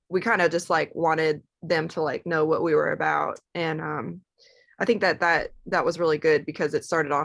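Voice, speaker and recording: With a Southern US accent, a woman speaks at a moderate pace in a fairly low voice with vocal fry. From US South, Georgia (Atlanta area). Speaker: singer in a rock band. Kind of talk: podcast interview.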